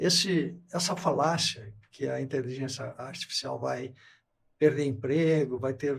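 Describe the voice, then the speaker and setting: A man's medium-pitched voice with vocal fry, ordinary pitch variation and a fairly slow pace. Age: 70s. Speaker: company CEO. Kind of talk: podcast interview.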